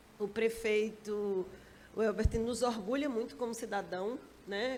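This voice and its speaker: Speaking at a moderate pace, a woman keeps a fairly high pitch with fairly even intonation. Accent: Sergipe. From Sergipe, Brazilian Northeast. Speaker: regulatory agency director. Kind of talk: panel discussion. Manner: direct, blunt.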